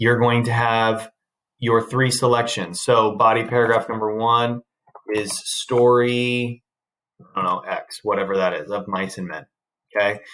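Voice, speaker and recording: A man's plain, everyday voice at a medium pitch, fairly slow in pace with fairly even intonation. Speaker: high school English teacher. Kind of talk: recorded lecture.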